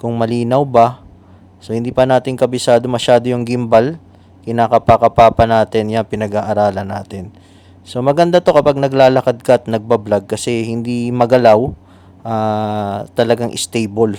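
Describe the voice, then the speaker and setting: A man with a dark, mellow tone speaks at a medium pitch and moderate pace, his intonation fairly even. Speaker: vlogger. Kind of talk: casual vlog. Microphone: clip-on microphone on new camera.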